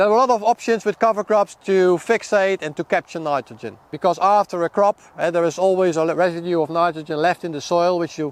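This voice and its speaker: A man with a Dutch accent talks fairly quickly in a high pitch. The sound is dry and close, with no echo. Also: ordinary pitch variation, hardly any pauses. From Netherlands. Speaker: seed company product manager and farmer. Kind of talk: outdoor field talk to farmers. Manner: halting, many repetitions.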